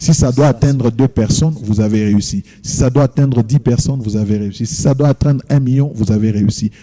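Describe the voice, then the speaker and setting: A man's dark, mellow voice at medium pitch, with ordinary pitch variation. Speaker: pastor and gospel singer. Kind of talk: TV interview.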